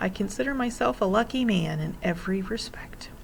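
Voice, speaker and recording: A female-sounding put-on character voice, husky and at middle pitch, moves at a fairly quick pace. Noticeable background noise is present. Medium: read story. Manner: polite, hesitant.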